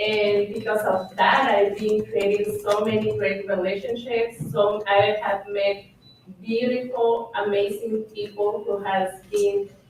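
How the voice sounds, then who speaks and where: A woman speaks very slowly in a monotone, flat intonation, with a non-native accent. There is noticeable background noise. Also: medium pitch for a woman. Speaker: panelist. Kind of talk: panel discussion.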